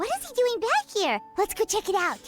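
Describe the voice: In a put-on character voice, a woman talks at an extremely high pitch with very wide pitch swings, while faint music plays in the background. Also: moderate pace.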